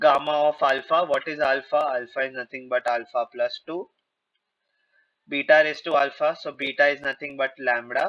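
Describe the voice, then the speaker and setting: Dry and close with no echo, the sound carries a man's unremarkable speaking voice. He talks at a moderate pace and a fairly high pitch. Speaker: actuarial exam tutor. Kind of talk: lecture.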